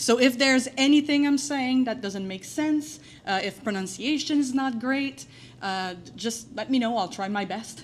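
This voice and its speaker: Using ordinary pitch variation, a woman with a high pitch speaks in a strong French accent. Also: moderate pace. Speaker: waste management professional, conference presenter. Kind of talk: conference presentation. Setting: conference room with audience. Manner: hesitant, frequent filler words.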